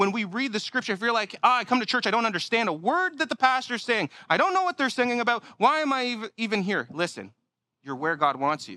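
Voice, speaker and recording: An extremely high-pitched man in a raised, projected voice, bright and sharp in tone, at a very fast pace with very wide pitch swings and big swings in loudness, on a very clean recording with a silent background. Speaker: pastor. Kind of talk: sermon. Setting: church.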